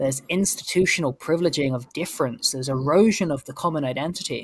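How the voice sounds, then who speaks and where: The speech comes at a very fast pace in a London accent. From North London, England. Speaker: political commentator. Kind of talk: podcast discussion. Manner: halting, many repeated words.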